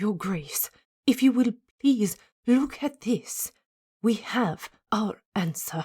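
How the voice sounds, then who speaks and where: Using a put-on character voice, a woman speaks at a very slow pace with a fairly high pitch, lively intonation, and long, frequent pauses. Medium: read story. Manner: formal, deferential.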